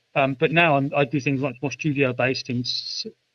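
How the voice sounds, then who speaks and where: A man with a British accent, fairly high-pitched for a man, talking at a very fast clip with fairly even intonation. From United Kingdom. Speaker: artist, writer, musician, poet. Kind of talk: interview answer. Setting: remote call.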